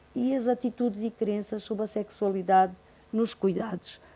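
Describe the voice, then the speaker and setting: In a dark, mellow tone, a woman speaks at a moderate pace with monotone, flat intonation. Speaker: university nursing professor. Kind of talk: conference presentation. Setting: auditorium with audience. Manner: trails off, voice drops in volume.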